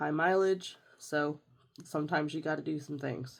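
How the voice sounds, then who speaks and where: At a moderate pace, a woman talks with a very deep, low pitch. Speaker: budgeting vlogger. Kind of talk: casual tutorial monologue. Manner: hesitant, with fillers.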